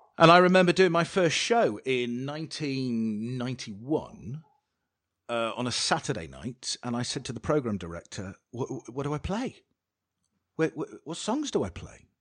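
Over a quiet background, a man at a medium pitch and moderate pace makes very wide pitch swings and big swings in loudness. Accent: British. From England. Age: 40s. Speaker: podcast host, former radio DJ. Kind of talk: casual interview chat.

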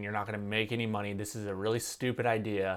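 A man speaks in a Californian accent with a fairly low pitch and monotone, flat intonation. The recording is very clean, with a silent background. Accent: Californian American. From California, Santa Cruz. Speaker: filmmaker and YouTuber. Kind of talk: casual interview chat.

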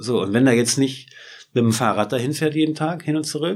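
The man's pitch varies in an ordinary way. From northeastern Germany, Schwerin (Mecklenburg-Vorpommern). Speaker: photographer. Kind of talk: interview. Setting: studio.

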